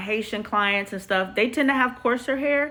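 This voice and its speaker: Loud and lively in intonation, a woman speaks in a bright, sharp tone. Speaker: hairstylist. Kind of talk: live stream Q&A. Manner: casual, chatty.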